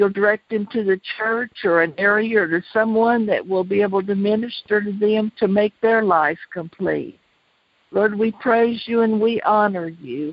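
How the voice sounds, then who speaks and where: A woman of medium pitch with ordinary pitch variation has an ordinary speaking voice. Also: moderate pace. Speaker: co-host. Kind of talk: casual conversation.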